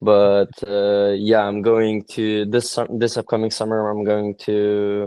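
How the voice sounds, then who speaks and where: A man speaks at a very slow pace in a fairly low voice. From Lithuania. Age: young. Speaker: exchange student and aspiring entrepreneur. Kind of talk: casual chat. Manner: halting.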